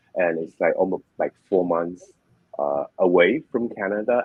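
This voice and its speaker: A man with a Chinese accent talks in a very deep, low pitch with ordinary pitch variation. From China. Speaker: online business owner. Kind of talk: interview. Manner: halting.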